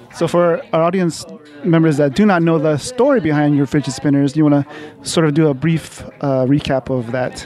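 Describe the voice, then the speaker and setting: A man talks in an ordinary speaking voice at a fairly high pitch and a moderate pace, with ordinary pitch variation and a dry sound with no echo over light background noise. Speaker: podcast co-host. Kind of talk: casual interview. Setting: on location at comic coffee shop. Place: cafe.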